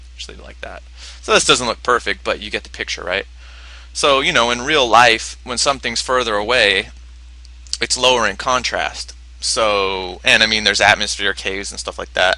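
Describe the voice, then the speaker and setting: On a very clean recording with a silent background, a man with a fairly low pitch, bright, sharp tone and vocal fry talks at a moderate pace, using very wide pitch swings and big swings in loudness. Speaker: animation filmmaker and tutorial maker. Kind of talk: tutorial. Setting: home computer desktop screen recording.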